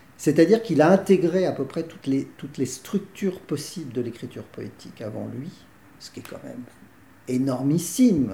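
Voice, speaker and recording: A man talks at a moderate pace in a fairly high voice with a dark, mellow tone and vocal fry. His pitch swings very widely. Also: big swings in loudness. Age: 60s. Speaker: theatre director. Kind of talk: interview. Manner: halting.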